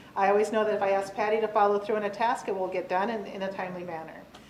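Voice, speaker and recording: A woman of medium pitch talks very fast in a monotone, flat delivery, with audible room echo and noticeable background noise. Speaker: county staff presenting employee award. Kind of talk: reading aloud nomination letters at public meeting.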